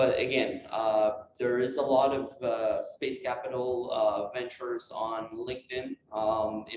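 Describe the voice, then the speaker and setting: A man speaks with a Quebec accent. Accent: French Canadian accent in English. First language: French. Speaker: space industry entrepreneur. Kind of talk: lecture. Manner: halting.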